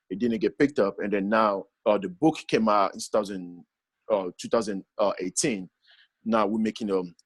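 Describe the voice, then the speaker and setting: This man's voice sits fairly low in pitch and shows ordinary pitch variation, moving at a fairly quick pace. The sound is dry and close, without any echo. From Congo. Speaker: actor and app founder. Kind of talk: podcast interview. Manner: halting, many fillers.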